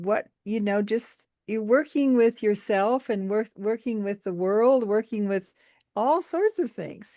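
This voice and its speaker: A woman with a fairly high pitch and a dark, mellow tone speaks at a very slow pace with ordinary pitch variation. The sound is dry and close with no echo, over a quiet background. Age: 80s+. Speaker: book study group participant. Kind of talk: group discussion.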